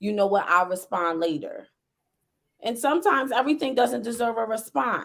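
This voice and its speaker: Here a woman with an American accent talks at a fairly quick pace. Her fairly high voice has very wide pitch swings. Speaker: school climate manager. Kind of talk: casual chat. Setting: livestream. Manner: animated; loud.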